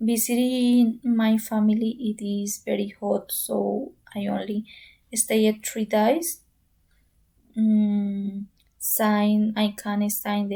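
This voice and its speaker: A woman speaks at a very slow pace and a fairly high pitch, with fairly even intonation. Her voice is somewhat breathy, with a dark, mellow tone. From Colombia, Bogota. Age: 20s. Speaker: pharmacy student. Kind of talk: English practice monologue. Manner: halting.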